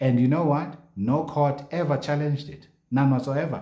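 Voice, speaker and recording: Somewhat breathy and dark, mellow in tone, a man's fairly high voice moves at a moderate pace with audible room echo. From South Africa. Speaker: news commentator. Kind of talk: casual commentary reading social media posts. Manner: animated.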